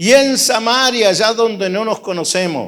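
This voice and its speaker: Delivered at a very slow pace with ordinary pitch variation, the speech comes through on a very clean recording with a silent background. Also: man. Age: 60s. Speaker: pastor. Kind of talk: sermon.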